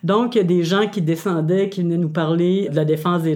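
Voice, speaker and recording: At a moderate pace, a woman speaks in a plain, everyday voice with a fairly low pitch. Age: 60s. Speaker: retired community activist and storyteller. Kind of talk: interview testimony.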